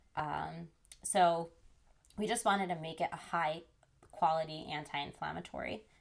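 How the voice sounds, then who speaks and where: A woman with an American accent speaks at a moderate pace in a fairly low pitch, with vocal fry, ordinary pitch variation, and long, frequent pauses. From New Jersey. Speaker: chef and nutrition coach. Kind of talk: interview.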